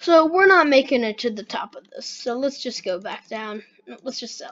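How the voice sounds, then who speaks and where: A woman speaks at a moderate pace. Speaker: gaming YouTuber. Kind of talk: casual gameplay commentary. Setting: home recording with microphone. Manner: casual, chatty.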